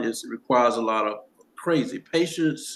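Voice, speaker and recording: A man with a Southern US accent speaks at a moderate pace, his medium-pitched voice showing ordinary pitch variation. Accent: Southern US (Georgia). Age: 70s. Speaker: documentary co-director. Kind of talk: casual chat.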